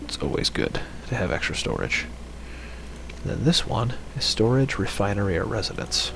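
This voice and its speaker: Whispering quietly at a moderate pace, a man leaves long, frequent pauses amid noticeable background noise and audible room echo. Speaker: game streamer. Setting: home, late at night. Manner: quiet, whispering.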